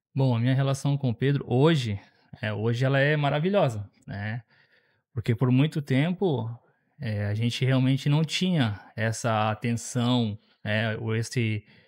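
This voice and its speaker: Speaking at a fairly slow pace, a man uses a plain, everyday voice at medium pitch with ordinary pitch variation, recorded very cleanly against a silent background. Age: 30s. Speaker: father, church member. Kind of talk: podcast interview.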